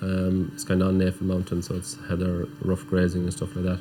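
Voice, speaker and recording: Fairly quick male speech, very deep and low in pitch, over background music. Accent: Irish. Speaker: farmer. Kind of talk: documentary interview.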